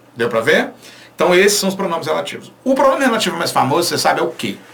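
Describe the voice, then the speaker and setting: Through noticeable background noise and audible room echo, a man speaks with an animated tone and a high pitch, his pitch swinging very widely. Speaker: Portuguese language teacher. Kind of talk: online lecture.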